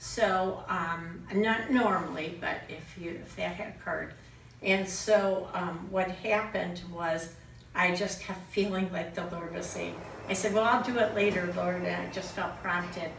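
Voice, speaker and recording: A woman at a fairly slow pace, with fairly even intonation, light background noise and audible room echo. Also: medium pitch for a woman. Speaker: friend of the deceased; speaker. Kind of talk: eulogy. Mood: earnest, emotional. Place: home room.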